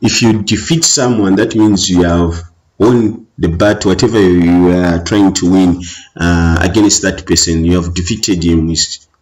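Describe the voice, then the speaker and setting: Speaking with a Zambian accent, a man keeps a fairly slow pace. His intonation is fairly even. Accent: Zambian English with Tonga. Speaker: teacher. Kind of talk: exam revision tutorial. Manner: hesitant, many fillers.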